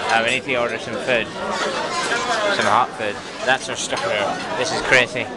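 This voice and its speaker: Crowd noise fills the background as a man speaks at a fairly slow pace. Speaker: travel vlogger. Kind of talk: casual vlog chat. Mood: excited, amused. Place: cafe. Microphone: phone near.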